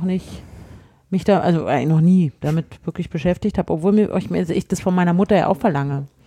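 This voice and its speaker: At a fairly quick pace, a woman with a slight Berlin accent speaks at a medium pitch, her dark, mellow tone carrying ordinary pitch variation. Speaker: podcast co-host. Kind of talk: casual chat.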